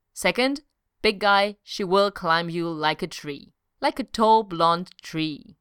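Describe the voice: Over a quiet background, this is plain reading aloud with ordinary pitch variation.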